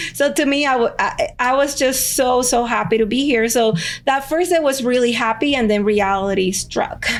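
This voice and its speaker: At a moderate pace, a woman talks in a Spanish accent with ordinary pitch variation. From Cuba (Havana), moved to US at 14. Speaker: lawyer. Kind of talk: podcast interview.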